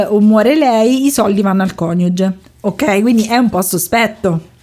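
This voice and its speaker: Lively intonation in a plain, everyday voice, delivered at a fairly slow pace. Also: woman. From Rome, Italy. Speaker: podcast host. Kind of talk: storytelling.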